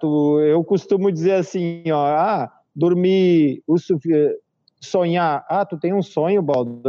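Speech from a man arrives very slowly. His voice is high in pitch. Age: 40s. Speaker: organic farmer. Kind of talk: casual interview on a live stream.

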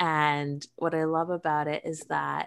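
A woman is heard on a very clean recording against a silent background. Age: 30s. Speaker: cannabis and sex-wellness entrepreneur. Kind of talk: interview.

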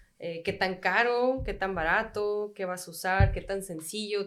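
A woman talks in an ordinary speaking voice. Her pitch is medium, with fairly even intonation. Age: 30s. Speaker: bartender. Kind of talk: casual chat.

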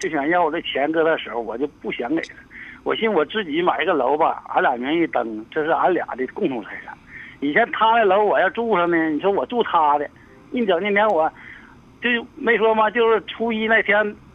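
At a moderate pace, a high-pitched man speaks with very wide pitch swings. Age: 50s. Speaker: caller. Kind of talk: call-in advice conversation. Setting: phone call. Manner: halting.

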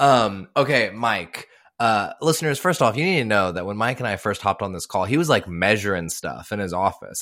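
Using an ordinary speaking voice, a man with an American accent and fairly low pitch talks at a fairly quick pace. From Texas. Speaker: podcast host. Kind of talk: casual interview. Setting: video call.

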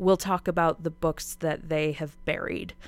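In a plain, everyday voice, a woman with an American accent speaks at a moderate pace and a fairly low pitch. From Spokane, Washington, US Pacific Northwest. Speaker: arts nonprofit executive director. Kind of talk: radio interview.

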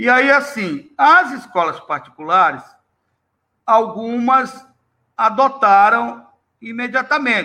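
A man's raised, projected voice at an extremely high pitch, bright and sharp in tone, very slow with long, frequent pauses and lively intonation. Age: 60s. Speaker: history teacher and textbook author. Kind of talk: interview.

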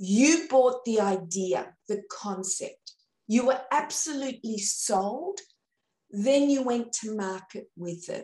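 A woman with an Australian accent, fairly high in pitch yet dark and mellow in tone, at a very slow pace with big swings in loudness. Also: lively intonation. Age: 50s. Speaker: sales trainer. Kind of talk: interview.

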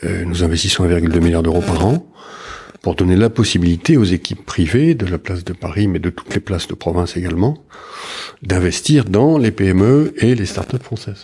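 Speech comes at a moderate pace with lively intonation. There is a somewhat breathy quality to it. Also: man, very deep, low pitch for a man. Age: 50s. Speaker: public investment bank executive. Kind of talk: interview.

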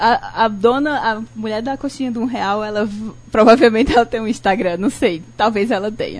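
Her pitch fairly high and its variation ordinary, a woman talks in a normal speaking voice. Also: moderate pace. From Brazil, Ceará (Cariri region, Barbalha). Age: 30s. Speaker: designer and law student. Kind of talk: radio talk show interview. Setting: radio studio, live broadcast.

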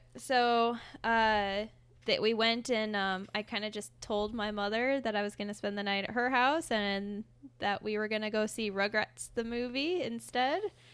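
Someone with an American accent talks at a moderate pace in a normal speaking voice, with fairly even intonation. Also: woman, fairly high pitch for a woman. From Fort Wayne, Indiana. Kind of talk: casual chat.

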